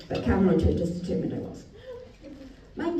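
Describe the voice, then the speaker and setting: Very wide pitch swings from a woman, amid noticeable background noise and audible room echo. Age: 40s. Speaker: comedian. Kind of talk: stand-up.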